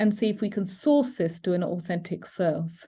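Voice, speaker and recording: A woman's dark, mellow tone with a British accent. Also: quiet background. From United Kingdom. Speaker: educator presenting cyber safety webinar. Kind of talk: educational webinar.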